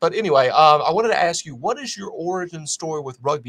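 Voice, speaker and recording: Lively intonation marks this man's high-pitched voice, delivered with an American accent. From US South. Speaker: podcast host. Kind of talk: podcast interview.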